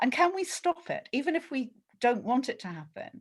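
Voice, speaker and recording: A woman talks at a moderate pace in a very clean recording with a silent background. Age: 60s. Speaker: book club member. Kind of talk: casual chat.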